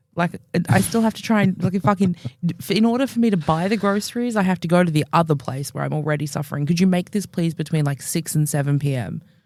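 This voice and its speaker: Very fast speech in an Australian accent. The tone is animated. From Australia, Melbourne. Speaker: podcast co-host. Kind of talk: casual chat.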